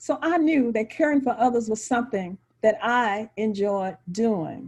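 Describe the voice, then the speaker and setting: Fairly high-pitched woman's voice with an American accent, ordinary pitch variation and a quiet background. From Texas, Huntsville. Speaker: nurse. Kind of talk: testimony. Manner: halting, with repetitions.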